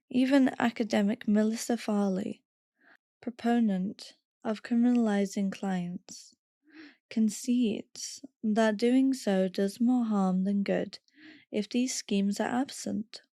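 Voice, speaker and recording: A woman speaks very slowly in a fairly high pitch, her tone dark and mellow and somewhat breathy, with fairly even intonation. The recording is very clean with a silent background and a dry, close sound with no echo. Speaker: podcast host. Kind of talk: reading aloud.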